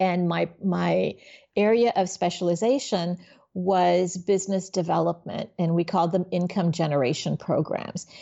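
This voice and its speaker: With an ordinary speaking voice, a woman talks at a moderate pace in a fairly low pitch, her intonation fairly even and her loudness very even. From Miami, Florida (born in Haiti). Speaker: business nonprofit executive and coach. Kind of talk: interview conversation.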